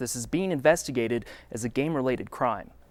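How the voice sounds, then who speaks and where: A plain, everyday voice from a man at a fairly quick pace with ordinary pitch variation, on a very clean recording with a silent background. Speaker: TV news anchor. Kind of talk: TV newscast anchor read. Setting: studio.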